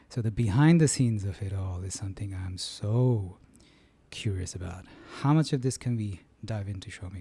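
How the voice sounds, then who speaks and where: In a very clean recording with a silent background, a man with a fairly low pitch and a dark, mellow, somewhat breathy tone speaks at a moderate pace with ordinary pitch variation. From London. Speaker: podcast host and musician. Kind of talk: interview conversation.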